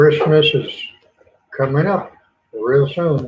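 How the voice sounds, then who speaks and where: At a very slow pace and in a relaxed tone, a man with an American accent talks in a fairly high pitch with ordinary pitch variation. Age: 70s. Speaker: gardening channel host. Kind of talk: casual livestream chat. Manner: relaxed, rambling.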